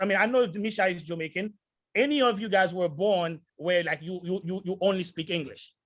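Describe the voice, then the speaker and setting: The tone is bright, sharp and animated. The speaker has a non-native accent. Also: man. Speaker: sales entrepreneur, motivational speaker. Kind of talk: motivational talk. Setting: video call.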